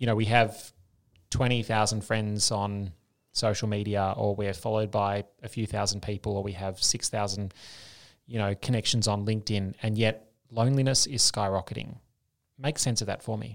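A man with a fairly low pitch speaks in a monotone, flat intonation on a very clean recording with a silent background. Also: moderate pace. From Australia. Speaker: podcast host and public health doctor. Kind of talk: podcast interview.

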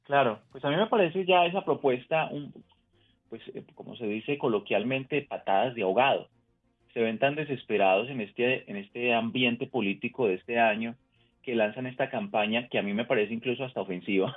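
A man with an unremarkable speaking voice talks fairly quickly at a medium pitch, his pitch varying in an ordinary way. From Colombia. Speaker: public affairs director. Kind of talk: news interview.

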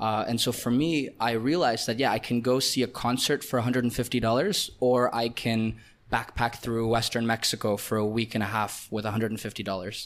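Speaking at a fairly quick pace with hardly any pauses, a man with a Canadian accent keeps a medium pitch and fairly even intonation. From Canada. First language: Russian. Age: 20s. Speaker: digital nomad entrepreneur. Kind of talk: casual interview. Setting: in person, Sri Lanka.

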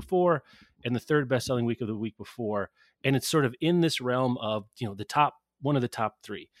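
On a very clean recording with a silent background and a dry, close sound with no echo, a plain, everyday voice talks at a fairly quick pace with ordinary pitch variation. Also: man. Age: 40s. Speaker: book industry professional. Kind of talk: casual chat.

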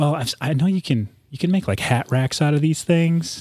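The man speaks in an unremarkable speaking voice. His delivery is fairly quick, with lively intonation. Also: very clean recording, silent background. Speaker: former FBI agent and small business owner. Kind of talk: casual chat. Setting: studio.

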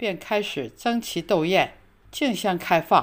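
The recording is very clean, with a silent background. A woman of medium pitch speaks at a very slow pace with lively intonation. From China. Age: 80s+. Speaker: retiree sharing life abroad. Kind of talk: reading aloud. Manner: formal.

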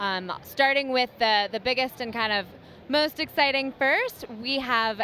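Delivered at a fairly slow pace with lively intonation, this is a normal speaking voice. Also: woman. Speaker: music gear company representative. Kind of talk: trade show interview. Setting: trade show floor.

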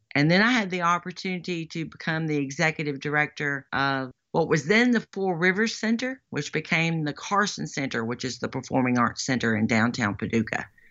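A woman's very deep, low voice in a Western Kentucky accent, with very wide pitch swings and hardly any pauses. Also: fairly quick pace. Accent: Western Kentucky Southern US. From western Kentucky, Lyon County. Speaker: political candidate, former radio broadcaster. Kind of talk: casual interview.

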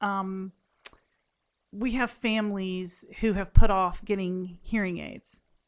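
At a very slow pace and with fairly even intonation, the voice comes through on a very clean recording with a silent background. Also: woman. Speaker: speech-language pathologist. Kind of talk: interview. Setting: studio. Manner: frequent fillers (um).

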